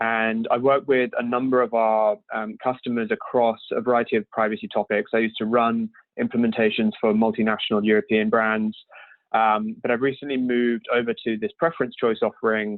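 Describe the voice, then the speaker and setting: A fairly quick-talking man with a British accent. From UK. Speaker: privacy software solutions engineer. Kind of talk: webinar presentation. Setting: remote webinar from home. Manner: hesitant, many filler ums.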